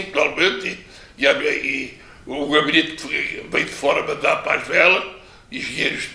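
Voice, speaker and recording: Noticeable background noise can be heard. Through it, a man speaks at a moderate speed. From Pico island, Azores, Portugal. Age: 80s+. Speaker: retired teacher and former local politician. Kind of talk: interview answer.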